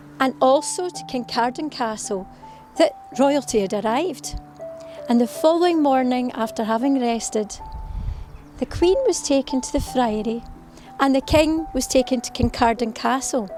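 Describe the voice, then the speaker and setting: A woman's high voice with very wide pitch swings, moderate pace, and long, frequent pauses over background music. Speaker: storyteller. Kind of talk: local history storytelling to camera. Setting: outdoors.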